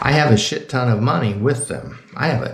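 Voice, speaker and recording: In an American accent, a man speaks at a moderate pace with lively intonation, and audible room echo surrounds him. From Florida, US South. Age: 70s. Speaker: retired navy officer and vlogger. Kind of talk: angry monologue to camera. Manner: animated.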